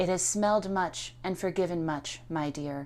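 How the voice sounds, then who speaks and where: A soft-spoken, put-on character voice at middle pitch and a moderate pace. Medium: read story. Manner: soft, coaxing.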